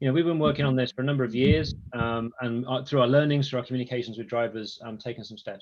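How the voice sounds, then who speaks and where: With an English accent, a man talks at a very fast pace, medium-pitched and with fairly even intonation. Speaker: product executive. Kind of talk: webinar presentation.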